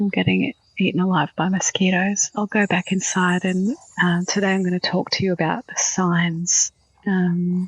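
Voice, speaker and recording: A woman with an Australian accent speaks at a medium pitch. Her somewhat breathy delivery is monotone and flat. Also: moderate pace. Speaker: spiritual podcast host. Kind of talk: casual monologue. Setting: outdoors on a balcony. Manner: quiet, soft-spoken.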